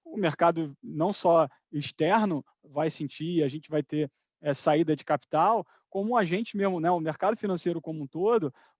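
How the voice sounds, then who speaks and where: A man speaks in a high voice with ordinary pitch variation. The sound is dry and close with no echo, over a quiet background. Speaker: finance executive. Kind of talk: live webinar talk. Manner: fast.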